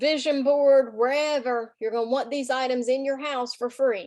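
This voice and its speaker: A woman speaks in a Southern US accent with a high pitch. Her tone is animated and her pace moderate. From US South. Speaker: direct sales team leader. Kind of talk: sales team meeting.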